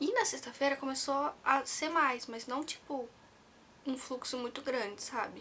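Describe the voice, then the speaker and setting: Soft-spoken and fairly slow, a woman talks in a high pitch with ordinary pitch variation over noticeable background noise. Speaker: vlogger. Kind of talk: personal story vlog. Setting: at home, near sleeping baby. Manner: soft-spoken, talking quietly; casual, with fillers.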